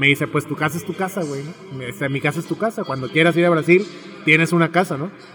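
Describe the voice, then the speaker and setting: Very fast speech over noticeable background noise. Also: man, fairly high pitch for a man, fairly even intonation. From Mexico, Tepic, Nayarit. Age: young. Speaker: bar owner and entrepreneur, psychologist. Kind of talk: interview, casual chat. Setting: bar with background music.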